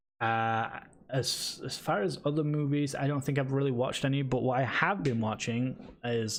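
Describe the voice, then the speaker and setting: With a British accent, a man talks at a moderate pace and with ordinary pitch variation. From Britain. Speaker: esports podcast host. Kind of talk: casual chat. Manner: halting, many fillers.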